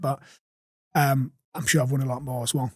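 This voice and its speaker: A man speaks at a very fast pace with a strong Geordie accent. His pitch is fairly high and his voice somewhat breathy. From Newcastle upon Tyne, England. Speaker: recruitment agency owner. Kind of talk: podcast interview answer. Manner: energetic, blunt.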